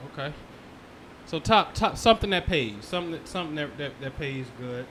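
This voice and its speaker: A man's ordinary speaking voice, fairly high in pitch, fairly quick, with lively intonation and big swings in loudness. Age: 40s. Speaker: investor interviewing his father. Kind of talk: casual interview.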